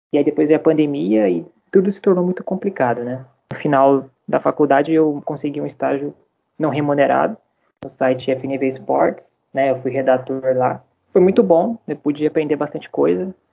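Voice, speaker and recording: A man has a normal speaking voice. He moves at a moderate pace with lively intonation. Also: fairly high pitch for a man. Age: 20s. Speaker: journalism graduate. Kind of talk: casual chat.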